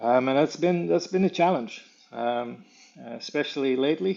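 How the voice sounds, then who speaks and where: A man's medium-pitched voice in a Dutch accent. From Netherlands, The Hague area. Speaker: animal tracker and conservationist. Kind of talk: interview. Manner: halting, many fillers.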